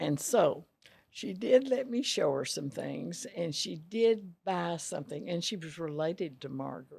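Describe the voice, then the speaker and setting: A woman with a Texan accent at a fairly slow pace, her loudness swinging widely. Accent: Texan Southern US. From Texas, small town Rosebud. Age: 90s. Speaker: retired dress shop owner. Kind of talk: interview.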